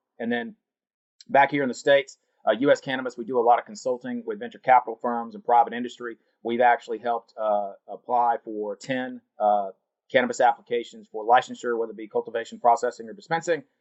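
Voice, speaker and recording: Talking at a very fast pace with a Southern US accent, a man uses medium pitch and ordinary pitch variation while his loudness swings widely. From US South, North Carolina. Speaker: cannabis industry executive. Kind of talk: interview. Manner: casual.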